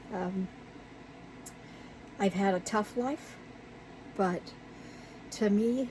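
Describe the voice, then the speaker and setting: Pausing long and often, a woman speaks at a very slow pace with ordinary pitch variation. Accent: American. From Virginia, US South. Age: 60s. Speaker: YouTuber, resin crafter. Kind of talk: casual vlog. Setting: outdoor she shed. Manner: casual, halting with fillers.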